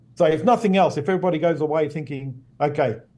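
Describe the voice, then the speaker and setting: A somewhat breathy voice with an Australian accent, a dark, mellow tone, ordinary pitch variation and a fairly quick pace. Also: man. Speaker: behavioral neuroscience professor. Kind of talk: interview explanation.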